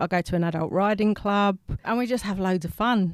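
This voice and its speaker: This woman has a South East London accent and a medium pitch. She talks at a moderate pace in a dry, close sound with no echo. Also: very clean recording, silent background. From England, South East London. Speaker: animal welfare policy researcher. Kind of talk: podcast interview.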